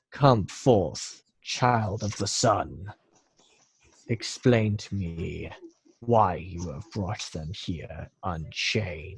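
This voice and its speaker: A man puts on a character voice, pitched fairly low. He speaks at a very slow pace. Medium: actual play. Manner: imperious, menacing.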